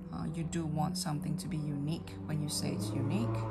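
A moderate pace, with light noise in the background. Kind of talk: casual vlog chat. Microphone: phone near.

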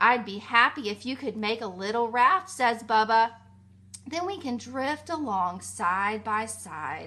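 A woman's fairly high voice, bright and sharp, warm and animated, with very wide pitch swings. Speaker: teacher reading a story to children. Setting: video message to children at home. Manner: warm, animated and soothing, with playful emphasis on key words; slow, clear and rhythmic, pausing for the rhymes. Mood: warm, gentle, expressive.

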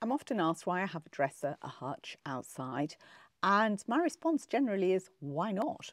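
A woman with an English accent and a medium pitch talks at a moderate pace with very wide pitch swings, in a very clean, dry, close recording with no echo and a silent background. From England. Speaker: home decor vlogger. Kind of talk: narrated home makeover tutorial.

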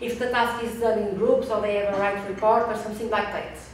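The recording has strong room echo and light background noise. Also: woman. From Portugal. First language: Portuguese. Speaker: researcher. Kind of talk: conference presentation. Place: meeting room.

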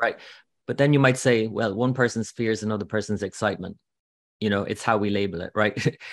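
A man with a fairly low voice and an Irish accent talks very fast, his intonation fairly even, over a quiet background with a dry sound and no echo. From Ireland. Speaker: astrologer and author. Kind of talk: casual interview chat. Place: home room. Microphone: video call.

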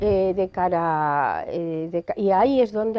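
A woman's voice with ordinary pitch variation. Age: 40s. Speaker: lawyer. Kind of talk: interview. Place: studio. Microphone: lapel.

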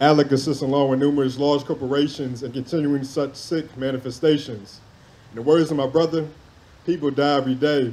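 A man with a dark, mellow tone, monotone and flat, at a fairly quick pace. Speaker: spoken word poet. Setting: stage with audience at a poetry event. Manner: passionate, rhythmic cadence, reverent and then intense, with pauses for impact. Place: open country. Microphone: handheld.

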